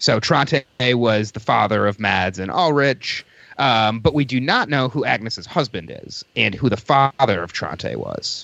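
A man with an ordinary speaking voice talks at a fairly slow pace, at a medium pitch with lively intonation. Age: 30s. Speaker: podcast guest. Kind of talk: casual chat.

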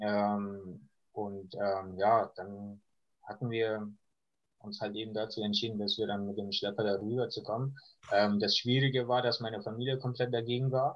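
Speaking at a moderate pace, a man with a fairly low voice keeps a monotone, flat intonation. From Iran. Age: 20s. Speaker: refugee sharing life story. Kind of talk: interview. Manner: hesitant, many fillers.

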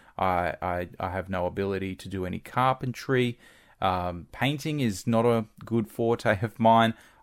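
In an Australian accent, a man talks at a fairly slow pace with a fairly low pitch and ordinary pitch variation. The recording is very clean, with a silent background. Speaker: former radio broadcaster. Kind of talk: casual interview. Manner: halting.

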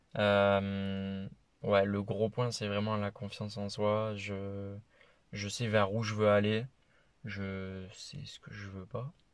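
Very slowly and with big swings in loudness, a man speaks at a fairly low pitch in a monotone, flat intonation. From France, Toulouse. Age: 20s. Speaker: traveller. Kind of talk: interview.

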